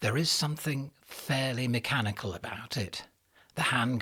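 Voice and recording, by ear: A natural voice reading aloud, with pitch that varies in an ordinary way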